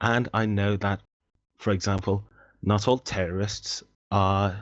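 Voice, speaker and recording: A man with an English accent talks at a fairly slow pace and a fairly low pitch. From England. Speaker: debate participant. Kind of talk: online debate.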